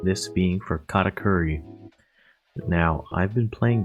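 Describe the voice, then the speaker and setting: Music plays in the background as a man talks at a fairly slow pace. His pitch is very deep and low, with fairly even intonation. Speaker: card game content creator. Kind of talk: deck profile talk to camera.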